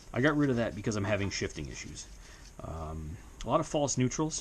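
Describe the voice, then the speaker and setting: A man speaks with audible room echo around him. Noticeable background noise runs underneath. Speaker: motovlogger. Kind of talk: garage tutorial vlog. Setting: small home garage. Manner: fast, hyper.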